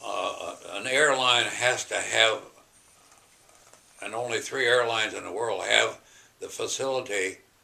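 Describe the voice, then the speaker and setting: A man with an American accent, a fairly slow pace, long, frequent pauses and big swings in loudness, over noticeable background noise. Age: 80s+. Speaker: WWII bomber pilot. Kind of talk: interview answer.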